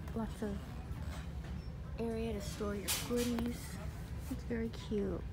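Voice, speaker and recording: A woman talks at a fairly slow pace with ordinary pitch variation over loud background noise. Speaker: shopping vlogger. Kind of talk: casual vlog chat. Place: shop. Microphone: phone near.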